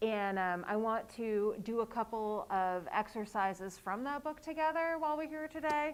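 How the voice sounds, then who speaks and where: A woman speaks at a moderate pace in a normal speaking voice, her pitch fairly high and her intonation lively. The recording is very clean, with a silent background. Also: hardly any pauses. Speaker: author and workshop leader. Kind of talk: workshop presentation. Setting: live event with audience.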